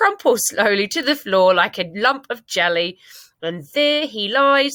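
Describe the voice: Over a quiet background, lively intonation carries this plain reading aloud.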